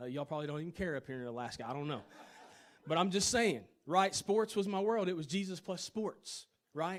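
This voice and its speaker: Speaking in a Tennessee accent at a fairly quick pace, a man with a high pitch uses lively intonation. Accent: Southern US (Tennessee). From US South, Chattanooga, Tennessee. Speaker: worship leader and minister. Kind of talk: testimony. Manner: fast; animated.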